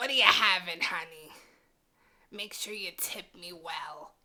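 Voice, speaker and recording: Putting on a character voice, a woman talks at a fairly slow pace in a raspy, medium-pitched tone. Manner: tired, world-weary.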